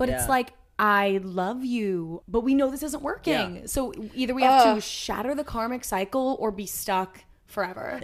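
Lively intonation marks this woman's fairly high-pitched delivery. She has an ordinary speaking voice and keeps a moderate pace. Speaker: podcast co-host.

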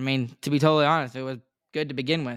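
In a very clean recording with a silent background, a man speaks very fast in an animated tone. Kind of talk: play-by-play recap of game action, like live commentary. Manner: animated, rapid-fire, excitable, rattling off plays.

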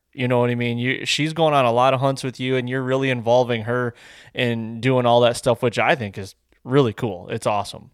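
Fairly quick, fairly even speech from a man with an American accent, very clean recording, silent background. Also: medium pitch for a man. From Michigan. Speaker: hunting video producer. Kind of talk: podcast interview.

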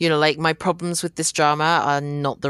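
A woman with a British accent speaks in a very deep, low pitch. Her intonation is monotone and flat. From Britain, Hong Kong Chinese family. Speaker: podcast co-host and K-drama blogger. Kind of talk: casual chat.

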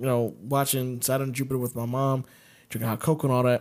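This man has an ordinary speaking voice with a fairly high pitch. He moves at a fairly quick pace. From US Mid-Atlantic (DC area). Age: 30s. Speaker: podcast co-host. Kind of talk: casual chat.

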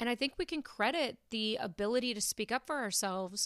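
A woman's fairly high voice at a moderate pace, a normal speaking voice, in a very clean recording with a silent background. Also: dry, close sound with no echo. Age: 30s. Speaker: podcast host. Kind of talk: solo monologue podcast. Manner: casual, conversational.

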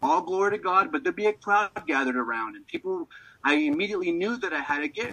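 Raised and projected, a man's high, bright, sharp voice races at a very fast pace with very wide pitch swings and big swings in loudness. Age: 40s. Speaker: minister. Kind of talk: testimony.

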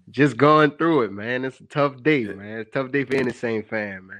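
A man in a New Orleans accent speaks at a fairly slow pace over a quiet background. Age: 20s. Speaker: caller. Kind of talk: phone-in call.

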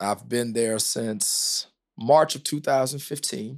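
A man with an American accent and an unremarkable speaking voice, medium in pitch with ordinary pitch variation, at a fairly slow pace, on a very clean recording with a silent background. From US South, small-town Kentucky. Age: 40s. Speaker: pastor. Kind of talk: podcast interview conversation.

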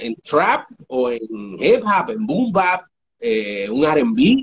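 A man is speaking. His pace is very slow. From New York (Bronx) and Puerto Rico. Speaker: hip hop radio producer. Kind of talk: interview. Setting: online live stream.

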